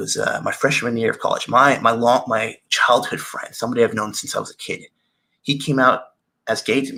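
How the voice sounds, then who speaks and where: A man's voice with a bright, sharp tone. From Tennessee. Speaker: storyteller. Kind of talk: personal storytelling.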